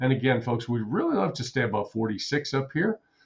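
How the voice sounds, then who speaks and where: Somewhat breathy, a man speaks at a medium pitch. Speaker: day trader and trading educator. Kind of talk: live trading commentary. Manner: fast, auctioneer-like calling out of numbers; repetitive.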